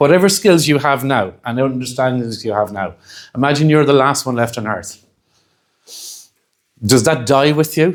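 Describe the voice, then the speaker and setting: A man with a Dublin accent speaks at medium pitch and a moderate pace, his intonation lively. He pauses long and often on a very clean recording with a silent background. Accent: Irish (Dublin). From Ireland. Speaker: hypnotherapy trainer. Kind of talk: lecture.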